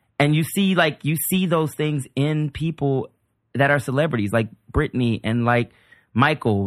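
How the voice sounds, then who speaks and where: Fairly high-pitched for a man, this male speaker with an American accent talks at a fairly slow pace with lively intonation on a very clean recording with a silent background. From US South, New Orleans. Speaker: comedian. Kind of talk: casual chat.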